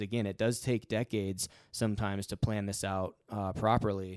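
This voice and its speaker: A man with an ordinary speaking voice, pitched fairly low, talks in fairly even intonation on a very clean recording where the background is silent. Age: 40s. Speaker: financial advisor podcast co-host. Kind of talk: casual chat.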